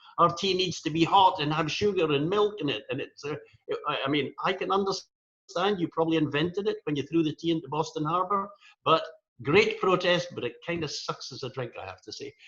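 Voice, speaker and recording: Speaking in a strong Scottish accent, a man uses a high pitch with ordinary pitch variation at a fairly quick pace. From Scotland. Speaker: rotary coordinator, speaker. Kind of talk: humorous talk. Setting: virtual meeting.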